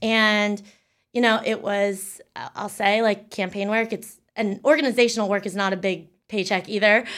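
A woman with an American accent and an unremarkable speaking voice, fairly even intonation and a moderate pace. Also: medium pitch for a woman, very clean recording, silent background. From Pennsylvania, York County. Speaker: digital strategist. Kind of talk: interview.

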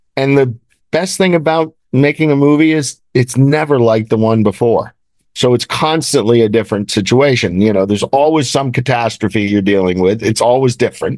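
An unremarkable speaking voice from a man, medium-pitched at a moderate pace, with ordinary pitch variation and very even loudness, in a dry, close sound with no echo over a quiet background. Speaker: film producer. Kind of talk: interview.

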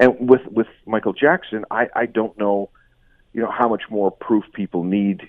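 A man's fairly low voice at a fairly slow pace. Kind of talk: radio interview.

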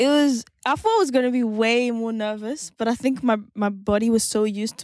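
A woman speaks with a French accent and fairly even intonation. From France. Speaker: singer-songwriter and producer. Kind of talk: interview. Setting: studio.

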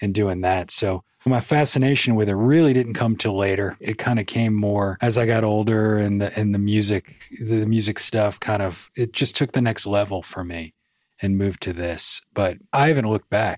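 A man with an American accent talks at a moderate pace in a fairly low pitch, with ordinary pitch variation, on a very clean recording with a silent background. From US South, New Orleans. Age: 40s. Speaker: podcaster and ghost story teller. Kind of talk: storytelling in casual interview.

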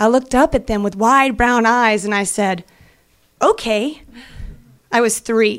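With long, frequent pauses, a woman talks at a fairly slow pace and fairly high pitch, her pitch varying in an ordinary way. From US South, Atlanta. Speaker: actress. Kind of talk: live storytelling. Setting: stage with audience.

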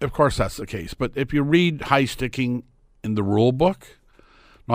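In a very clean recording with a silent background, a man with a Canadian accent uses an unremarkable speaking voice, talking at a fairly quick pace with lively intonation. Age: 60s. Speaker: sports commentator. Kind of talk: casual chat.

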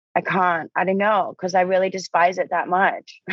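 A woman speaks with an American accent at medium pitch. Her pace is moderate. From Australia. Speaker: model and actor. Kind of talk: casual interview. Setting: remote call.

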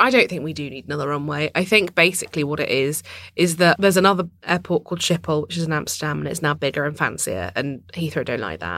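A woman with a southern English accent speaks very fast in a very deep, low pitch with vocal fry, barely pausing. Her intonation is lively and her loudness swings widely. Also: very clean recording, silent background. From London, England. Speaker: journalist and author. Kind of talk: casual chat.

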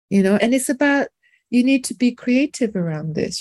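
Somewhat breathy and dark, mellow in tone, a woman speaks at a moderate pace in a very clean recording with a silent background and a dry, close sound with no echo. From London, England (French-Indian family). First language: French. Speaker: documentary filmmaker and doula. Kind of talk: interview conversation.

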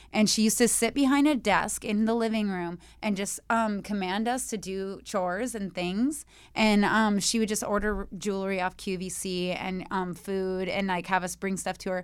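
A woman with a plain, everyday voice speaks at a moderate pace and medium pitch, her intonation fairly even, on a very clean recording with a silent background. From moved around, born in Vancouver, Washington. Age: 40s. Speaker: exotic dancer and model. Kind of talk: casual chat.

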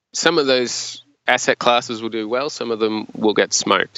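At a moderate pace, a man with an Australian accent speaks at a medium pitch with fairly even intonation. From regional Australia. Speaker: investment manager. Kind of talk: interview.

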